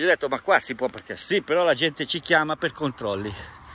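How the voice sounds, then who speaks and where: A man's raised, projected voice has a bright, sharp tone and a dry sound with no echo. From Italy. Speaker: travel vlogger. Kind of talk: vlog monologue. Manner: rambling, fast. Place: open country. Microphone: phone near.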